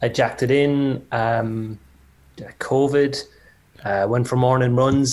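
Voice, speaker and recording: Using fairly even intonation, a man with a medium pitch speaks in an Irish accent. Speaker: designer. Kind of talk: casual chat.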